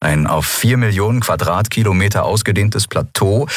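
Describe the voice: Someone reading aloud in a plain way.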